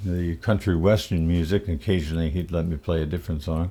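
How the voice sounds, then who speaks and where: Speaking in an upstate New York accent, a man talks at a moderate pace with a very deep, low pitch. His tone is dark, mellow and relaxed. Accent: upstate New York American. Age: 70s. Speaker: musician. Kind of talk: casual monologue. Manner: relaxed with frequent fillers.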